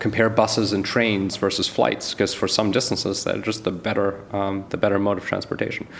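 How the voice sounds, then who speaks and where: A man talks at a fairly quick pace in a fairly low pitch, with monotone, flat intonation. Noticeable background noise runs underneath. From Germany and Canada. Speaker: venture capitalist. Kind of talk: interview.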